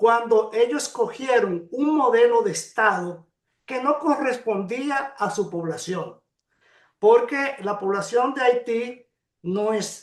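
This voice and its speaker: A man speaks at a very slow pace with a high pitch. His intonation is lively. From Dominican Republic, Cibao region. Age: 70s. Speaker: historian and court interpreter. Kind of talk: interview.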